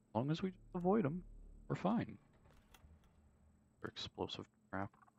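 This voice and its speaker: The voice is soft-spoken at a moderate pace. The sound is dry and close, with no echo. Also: man. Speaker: gaming streamer. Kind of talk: live gameplay commentary.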